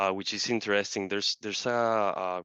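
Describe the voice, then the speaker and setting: Fairly even intonation in a Colombian accent. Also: man. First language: Spanish. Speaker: marketer. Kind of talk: interview.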